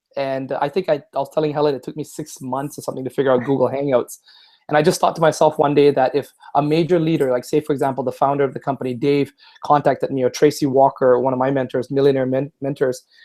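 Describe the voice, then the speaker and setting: The man's tone is dark and mellow. He talks at a very fast pace. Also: fairly high pitch for a man. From Singapore and Vancouver, Canada. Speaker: online entrepreneur. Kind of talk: casual interview chat. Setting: video call. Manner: animated.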